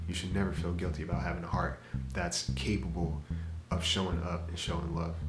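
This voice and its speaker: Clear music plays behind a man whose voice is very deep and low. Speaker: podcast host. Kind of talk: podcast monologue. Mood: calm, reflective. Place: home room.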